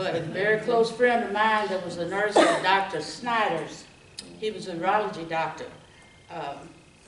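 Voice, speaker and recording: A woman with an American accent speaks at a moderate pace with ordinary pitch variation, over noticeable background noise and audible room echo. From Texas, Round Rock. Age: 70s. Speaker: retired nurse, local history speaker. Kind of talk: oral history talk to audience.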